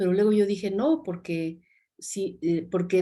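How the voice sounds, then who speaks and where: A woman's voice, dark and mellow in tone, comes at medium pitch and a moderate pace with ordinary pitch variation in a very clean recording over a silent background. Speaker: novelist. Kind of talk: interview. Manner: halting.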